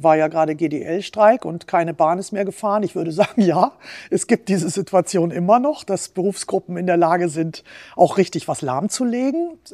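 A woman speaks at a moderate pace in a fairly low voice with a dark, mellow tone. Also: ordinary pitch variation. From Allgäu, southern Germany (Bavaria). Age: 50s. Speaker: head of a workers' chamber, former journalist. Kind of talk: interview.

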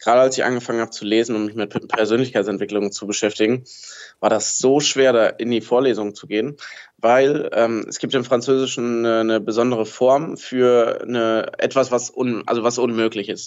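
Speaking at a fairly quick pace, a man talks at a medium pitch. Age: 20s. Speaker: fashion label founder. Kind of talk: interview. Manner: animated.

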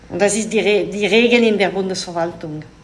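Amid noticeable background noise and audible room echo, a woman with a French accent speaks at a fairly slow pace and medium pitch with fairly even intonation. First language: French (speaking German). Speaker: diplomat. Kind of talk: interview. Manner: halting.

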